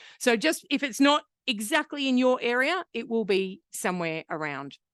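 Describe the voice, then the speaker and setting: Loud and animated, a woman with an Australian accent speaks at a moderate pace in a fairly high pitch, her voice making very wide pitch swings, with a dry, close sound and no echo. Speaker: hepatitis C program manager and researcher. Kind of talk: conference presentation.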